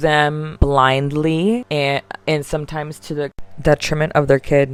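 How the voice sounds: The pace is fairly slow. The tone is clear and smooth. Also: woman.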